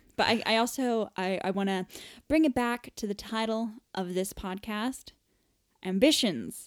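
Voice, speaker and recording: In a very clean recording with a silent background, a woman with an American accent speaks in an unremarkable speaking voice, fairly high in pitch with ordinary pitch variation. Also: fairly slow pace. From US. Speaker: podcast host. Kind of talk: casual chat. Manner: chatty, laughing.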